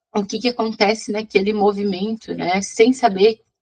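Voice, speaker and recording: A somewhat breathy woman speaks at a fairly high pitch in a dry, close sound with no echo. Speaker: physics teacher. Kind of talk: online class lecture. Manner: fast.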